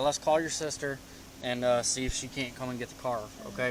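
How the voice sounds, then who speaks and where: Noticeable background noise sits behind a man at medium pitch. He talks at a fairly quick pace with monotone, flat intonation. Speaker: police officer. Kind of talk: police arrest procedure. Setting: outdoors at a gas station traffic stop.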